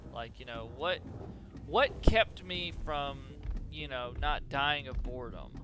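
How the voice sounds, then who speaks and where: Music plays behind a man who speaks very slowly, with long, frequent pauses and big swings in loudness. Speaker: gaming youtuber. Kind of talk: let's play commentary. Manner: halting, stumbles over words.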